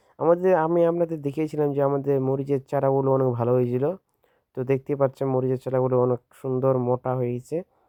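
A man speaks with fairly even intonation. His loudness stays very even throughout. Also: medium pitch for a man. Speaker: farmer and video creator. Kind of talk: outdoor farm demonstration. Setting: outdoors in a chili field. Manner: halting, many fillers.

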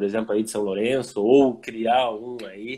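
A man's dark, mellow tone moves with fairly even intonation. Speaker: motorcycle club live-stream host. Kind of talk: casual chat. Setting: video call. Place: home room. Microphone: video call.

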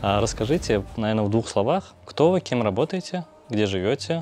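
A fairly low-pitched man at a fairly quick pace, with lively intonation and a slightly mellow tone.

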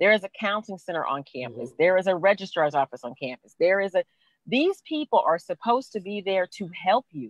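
A woman at medium pitch, very fast, with very wide pitch swings and big shifts in loudness, in a dry, echo-free recording over a quiet background. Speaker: college president; panelist. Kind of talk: panel discussion. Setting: video call. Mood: earnest, encouraging. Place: car. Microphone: earbuds.

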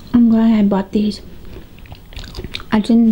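The speaker is a woman. She talks fairly slowly. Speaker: mukbang vlogger. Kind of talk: casual talk to camera. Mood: cheerful, relaxed. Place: home room.

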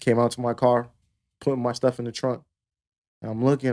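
Against a quiet background, a man with a dark, mellow tone talks at a very fast pace. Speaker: DJ; podcast co-host. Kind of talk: casual chat. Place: studio. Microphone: studio mic.

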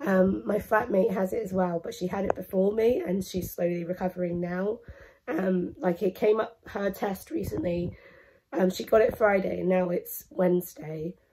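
This woman's voice has a dark, mellow tone and is somewhat breathy. Her pitch is medium, with ordinary variation. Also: moderate pace. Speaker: vlogger. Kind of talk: casual vlog monologue.

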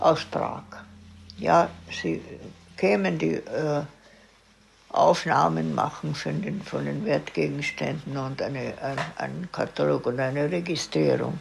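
Over light background noise, a woman speaks very slowly, with long, frequent pauses. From Moravia, Czechoslovakia. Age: 90s. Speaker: eyewitness; witness. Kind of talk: oral history interview. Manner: halting. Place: home room.

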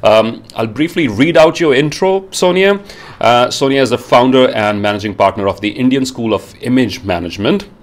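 The speaker keeps a moderate pace. The pitch swings very widely. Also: man. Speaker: show host. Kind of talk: interview introduction. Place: home room. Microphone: earbuds.

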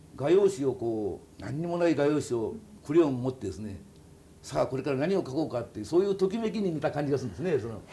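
A man talks at a very fast pace in a fairly high, somewhat breathy voice. His pitch swings very widely. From Kyushu, Oita, Japan. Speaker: kokeshi doll artist. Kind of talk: casual interview. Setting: workshop studio. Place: home room. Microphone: lapel.

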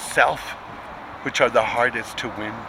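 A man's voice comes through dry, with no echo, over light background noise. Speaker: poetry reader. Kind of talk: poetry reading. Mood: tender, proud. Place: street. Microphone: phone near.

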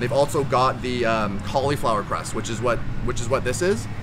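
Noticeable background noise beneath a fairly quick delivery. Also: man. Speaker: pizza reviewer. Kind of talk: casual vlog chat. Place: garden.

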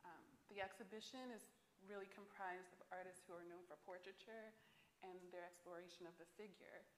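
Fairly even intonation at a moderate pace, with audible room echo and light background noise. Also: woman. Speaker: art curator. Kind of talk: panel discussion moderation. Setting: stage with audience. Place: hall.

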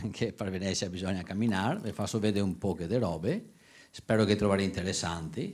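A man talks with fairly even intonation in a very deep, low pitch. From Venice; Italy. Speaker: tour guide. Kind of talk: announcement. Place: hall. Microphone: handheld.

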